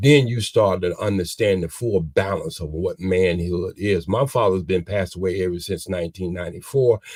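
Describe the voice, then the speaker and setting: This man's pitch sits very deep and low. There's a somewhat breathy quality to his voice. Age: 60s. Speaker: community elder and father. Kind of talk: motivational talk. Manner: animated.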